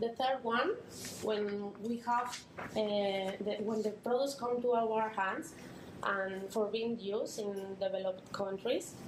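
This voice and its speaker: In a Spanish accent, a woman with a fairly high pitch speaks at a fairly slow pace and fairly even intonation, with audible room echo and noticeable background noise. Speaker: NGO volunteer presenter. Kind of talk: conference talk. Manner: halting.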